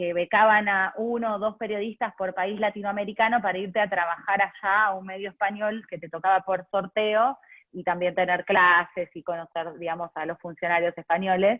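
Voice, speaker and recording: A woman speaks at a moderate pace in a medium-pitched voice with fairly even intonation and hardly any pauses. Her loudness swings widely. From Argentina, Buenos Aires. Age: 30s. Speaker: journalist. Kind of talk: interview. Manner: hesitant, frequent fillers.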